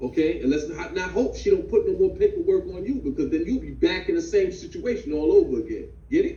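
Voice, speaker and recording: Amid noticeable background noise, a man speaks at a very fast pace with hardly any pauses. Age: 50s. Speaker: fatherhood class instructor. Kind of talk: online class discussion.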